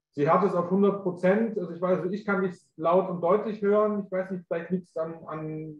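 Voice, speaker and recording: Audible room echo surrounds a man talking at a moderate pace with fairly even intonation against a quiet background. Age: young. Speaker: webinar co-host and moderator; webinar co-host, moderator. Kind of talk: webinar moderation. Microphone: video call.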